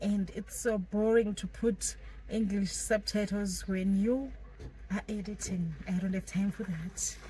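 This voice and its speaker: A woman with a Zimbabwean accent talks at a fairly slow pace. There is noticeable background noise behind her. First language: Shona. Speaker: vlogger, law graduate. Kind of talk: casual vlog talk.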